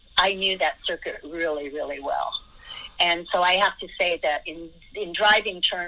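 Speaking at a moderate speed, this is a woman. She talks with an American accent. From USA. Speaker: racing driver. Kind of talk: interview. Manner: halting.

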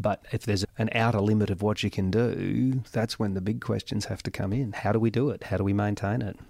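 Fairly quick speech, fairly even intonation, a very clean recording with a silent background. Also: man. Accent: Australian. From Australia, Goulburn Valley region of Victoria. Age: 50s. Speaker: mayor. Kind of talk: interview.

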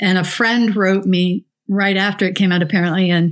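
On a very clean recording with a silent background, a woman with an American accent speaks at a medium pitch and moderate pace. She has an unremarkable speaking voice. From New Mexico, US. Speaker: researcher and writer. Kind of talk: casual chat.

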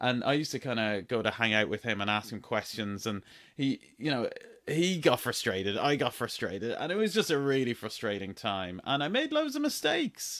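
This man has an Irish accent and a medium pitch, with lively intonation at a fairly quick pace. The recording is very clean, with a silent background. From Ireland. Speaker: entrepreneur podcast host. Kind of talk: solo podcast monologue. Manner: casual, uses many fillers.

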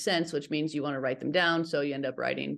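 A woman's very deep, low voice with ordinary pitch variation and an American accent, against a quiet background. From Northern Nevada, US. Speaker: climber, writer and business owner. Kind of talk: casual interview.

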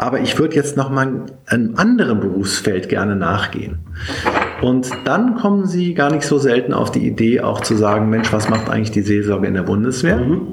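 Amid noticeable background noise and audible room echo, a man speaks at a moderate pace and medium pitch, with very wide pitch swings and very even loudness. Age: 50s. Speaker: military bishop. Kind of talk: interview. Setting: in person, office in Berlin. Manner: frequent filler sounds (äh, ähm).

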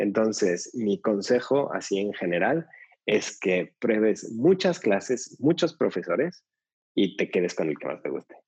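A man's medium-pitched voice with very wide pitch swings at a fairly slow pace. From Mexico City. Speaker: yoga teacher trainer. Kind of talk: interview conversation.

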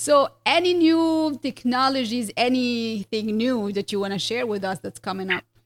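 Using a normal speaking voice, a woman talks at a moderate pace with hardly any pauses, a fairly high pitch and lively intonation, recorded with a dry, close sound with no echo. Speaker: dentist podcast host. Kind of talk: casual interview.

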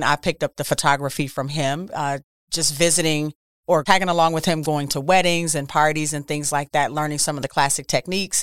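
Speaking fairly quickly with an American accent, a woman uses a very deep, low pitch and fairly even intonation, recorded very cleanly against a silent background with a dry, close sound and no echo. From Milwaukee, Wisconsin, US Midwest. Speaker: photographer. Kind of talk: interview.

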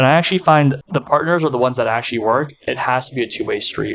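Male speaker in an American accent, with ordinary pitch variation. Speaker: podcast host. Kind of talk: interview, casual chat.

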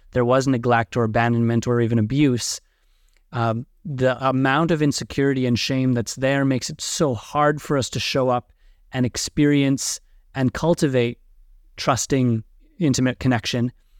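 A man's normal speaking voice at a medium pitch and moderate pace with fairly even intonation, on a very clean recording with a silent background and a dry, close sound with no echo. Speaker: podcast host and coach. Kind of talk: casual interview conversation.

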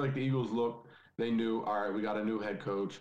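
Audible room echo surrounds a man talking at a very fast pace. His voice is fairly low, with ordinary pitch variation. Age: 20s. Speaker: football podcast guest. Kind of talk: casual chat.

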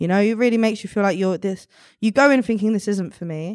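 The recording is very clean, with a silent background. A woman speaks at a medium pitch in a South London accent. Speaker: artist and activist. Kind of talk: casual interview chat.

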